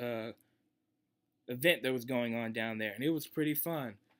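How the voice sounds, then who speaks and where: Southern US accent from a man, medium pitch with ordinary pitch variation, bright, sharp tone, quiet background. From Mississippi, US. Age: young. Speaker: aspiring music producer; vlogger. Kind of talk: audition talk to camera. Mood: enthusiastic, upbeat. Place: home room. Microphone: webcam.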